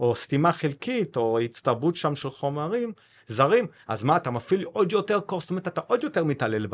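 A man's fairly high voice with very wide pitch swings, over a quiet background. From South Africa, Cape Town. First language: English (speaking Hebrew). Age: 40s. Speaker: tech company founder. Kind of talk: interview.

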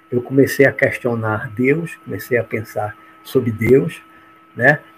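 Fairly slow speech from a medium-pitched man over noticeable background noise. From Bahia, Brazil. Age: 60s. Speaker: judge and spiritualist speaker. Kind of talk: autobiographical talk on a livestream.

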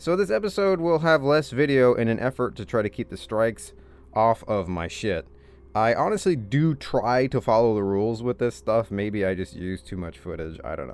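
With music in the background, a man with an American accent speaks loudly at a moderate pace, using very wide pitch swings. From rural Indiana, US Midwest. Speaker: podcast host. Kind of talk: casual monologue. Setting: home office.

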